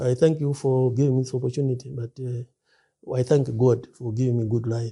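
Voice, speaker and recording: The voice is dark, mellow and somewhat breathy, moving at a fairly quick pace with monotone, flat intonation. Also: man, medium pitch for a man. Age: 60s. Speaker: preacher. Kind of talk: interview. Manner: halting.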